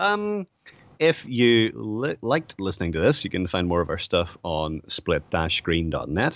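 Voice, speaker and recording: A man with an Irish accent, fairly low in pitch, with very wide pitch swings, a fairly slow pace and a quiet background. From Ireland. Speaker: podcast co-host. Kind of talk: casual chat.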